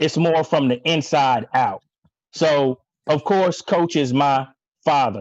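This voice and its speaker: With an American accent, a man talks in an ordinary speaking voice, his pitch fairly high and his pitch variation ordinary, recorded dry and close with no echo. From US Mid-Atlantic, rural area near Lincoln University, Pennsylvania. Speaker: coach's son, former track athlete. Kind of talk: tribute speech on group call. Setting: online video call.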